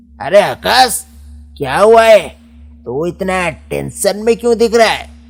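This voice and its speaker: A cartoonish character voice with lively intonation at a fairly slow pace, faint music in the background. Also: man, high pitch for a man. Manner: casual, slangy.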